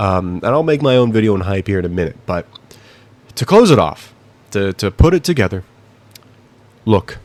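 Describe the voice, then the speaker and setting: His pitch jumps around a great deal. This man talks rather quickly. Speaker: YouTube commentator. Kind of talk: opinion rant. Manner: mumbling; halting.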